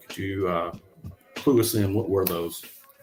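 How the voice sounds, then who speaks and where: Music plays in the background as a man speaks with a northern US accent. His fairly low voice has ordinary pitch variation and a moderate pace. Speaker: podcast co-host. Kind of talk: casual chat.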